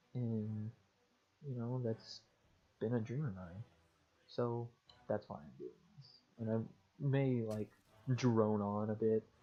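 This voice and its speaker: Quiet and dark, mellow in tone, a man speaks at a medium pitch with fairly even intonation, big swings in loudness, and long, frequent pauses. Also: fairly slow pace. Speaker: gaming youtuber. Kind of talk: casual chat. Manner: monotone. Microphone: headset mic, poor audio quality.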